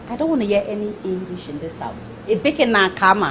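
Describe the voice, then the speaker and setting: Animated in tone, a woman's voice moves through very wide pitch swings against noticeable background noise. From Nigeria, Lagos. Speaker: guest. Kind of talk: talk show discussion.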